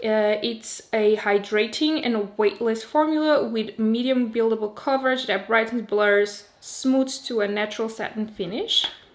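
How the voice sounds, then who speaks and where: A woman with a Portuguese accent speaks at a fairly slow pace in a fairly high pitch with fairly even intonation and hardly any pauses. Noticeable background noise runs underneath. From Portugal. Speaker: beauty youtuber. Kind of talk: product review. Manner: casual, chatty.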